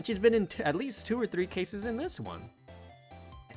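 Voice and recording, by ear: This is reading aloud in a natural voice, with ordinary pitch variation.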